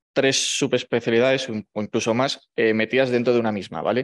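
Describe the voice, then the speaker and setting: A man's medium-pitched voice, fairly even in intonation, at a fairly quick pace. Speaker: medical resident in ENT. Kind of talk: presentation. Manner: fast.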